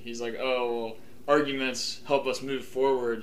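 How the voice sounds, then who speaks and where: Amid noticeable background noise and audible room echo, a man speaks at medium pitch with monotone, flat intonation. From Ohio, Columbus. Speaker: podcast host. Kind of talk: casual chat.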